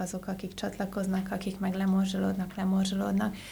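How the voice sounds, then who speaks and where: Audible room echo surrounds a woman whose medium-pitched voice is somewhat breathy. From Transylvania, Romania (Oradea). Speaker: IT business unit and innovation manager. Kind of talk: casual interview chat.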